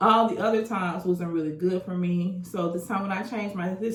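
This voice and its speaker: Audible room echo follows a woman speaking in an animated tone. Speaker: lifestyle vlogger. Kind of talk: casual vlog monologue.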